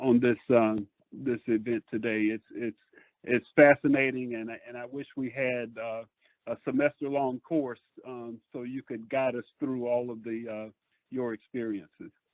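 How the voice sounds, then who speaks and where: Speaking in a South Carolina accent, a man keeps a monotone, flat intonation at a medium pitch and moderate pace, with big swings in loudness. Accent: Southern US (South Carolina). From US South, Bishopville, South Carolina. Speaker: lawyer, audience member. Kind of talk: question-and-answer remarks. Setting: phone call. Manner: halting.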